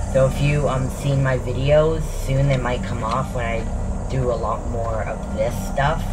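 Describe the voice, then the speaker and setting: Noticeable background noise and audible room echo surround a man's voice. He talks at a fairly slow pace with hardly any pauses. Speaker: gaming YouTuber. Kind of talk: casual gameplay commentary. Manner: halting; whispering.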